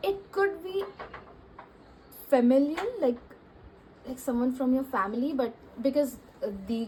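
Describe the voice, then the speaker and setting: High-pitched woman's speech, lively in intonation and broken by long, frequent pauses. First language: not English. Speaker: tarot reader. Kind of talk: tarot reading monologue. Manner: casual, many fillers.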